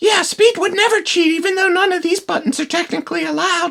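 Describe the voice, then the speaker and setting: A squeaky, cartoonish character voice from a woman, extremely high in pitch, with ordinary pitch variation and a very fast pace. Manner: dry, sarcastic.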